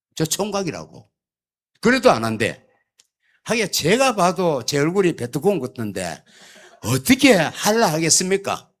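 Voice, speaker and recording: The speech moves at a fairly slow pace with long, frequent pauses and very wide pitch swings, on a very clean recording with a silent background. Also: man, high pitch for a man. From South Korea, Gyeongsangbuk-do (Yeongcheon). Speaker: church elder. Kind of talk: sermon. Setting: church. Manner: humorous storytelling.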